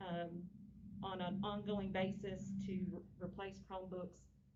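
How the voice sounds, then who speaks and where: Audible room echo surrounds a woman speaking at medium pitch with monotone, flat intonation. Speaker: school district official. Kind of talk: board meeting presentation. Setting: meeting room, speaking through a face mask. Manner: fast.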